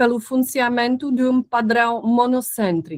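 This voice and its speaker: A woman speaks with a European Portuguese accent in a fairly high pitch. The sound is dry and close, with no echo. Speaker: researcher. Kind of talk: lecture. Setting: video call. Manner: halting.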